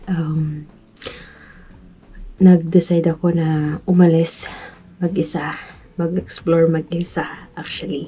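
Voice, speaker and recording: A woman speaks quietly at a fairly slow pace, her fairly low pitch held in a flat, monotone line. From Philippines, Metro Manila. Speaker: vlogger. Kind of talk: vlog narration. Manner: halting.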